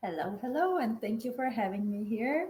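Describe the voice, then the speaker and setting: A woman speaks in a Macedonian accent. Her voice is somewhat breathy. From North Macedonia. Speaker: engineer and facilitator. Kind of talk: casual interview.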